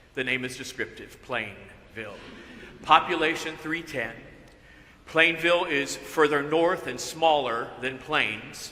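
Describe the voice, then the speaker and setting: Over noticeable background noise and audible room echo, a man speaks fairly slowly at a fairly high pitch with ordinary pitch variation. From US South, northwest Georgia. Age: 60s. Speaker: pastor. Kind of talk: sermon.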